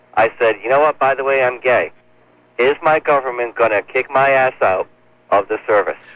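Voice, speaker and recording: An ordinary speaking voice, moderate pace. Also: man. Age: 30s. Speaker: caller. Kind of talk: casual chat. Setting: phone call.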